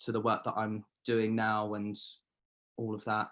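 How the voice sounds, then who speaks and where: This is a man with a southern English accent. His pace is moderate. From Surrey, southern England. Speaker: painter. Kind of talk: interview.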